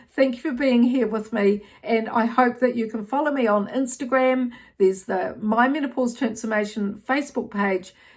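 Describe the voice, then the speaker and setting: A woman with a New Zealand accent and a fairly high pitch. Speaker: menopause health educator. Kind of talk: educational talk to camera. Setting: outdoors. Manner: hesitant, many fillers.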